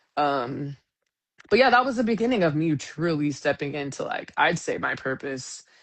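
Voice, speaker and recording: A woman talks with an American accent and a very deep, low pitch. Her pitch swings very widely. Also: moderate pace. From Sacramento, California. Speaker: singer-songwriter. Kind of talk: casual chat. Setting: live stream. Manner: animated.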